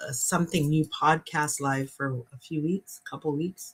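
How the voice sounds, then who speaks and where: A normal speaking voice from a woman, fairly low in pitch, at a moderate pace. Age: 50s. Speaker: podcast co-host. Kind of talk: casual chat. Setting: livestream.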